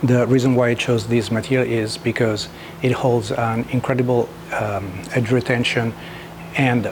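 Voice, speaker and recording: With a strong Italian accent, a man talks at a moderate pace at a medium pitch over noticeable background noise. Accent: thick Italian. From Italy. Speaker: knifemaker. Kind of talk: tutorial. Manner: halting, many fillers.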